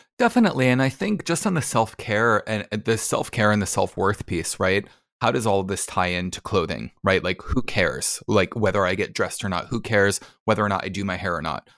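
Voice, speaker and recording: With an American accent, a man in an ordinary speaking voice talks at a fairly quick pace, his fairly low pitch showing ordinary pitch variation. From New Jersey, US. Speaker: hypnotherapist. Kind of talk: casual interview.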